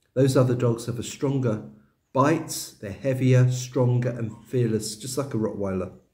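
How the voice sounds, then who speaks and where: Somewhat breathy and dark, mellow in tone, a man speaks at a moderate pace with a medium pitch and fairly even intonation. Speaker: expat vlogger. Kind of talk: casual monologue vlog. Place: home room. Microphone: webcam.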